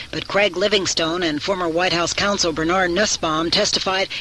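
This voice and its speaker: The talking runs at a fairly quick pace, and noticeable background noise can be heard. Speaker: network radio newscaster. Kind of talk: radio news bulletin read.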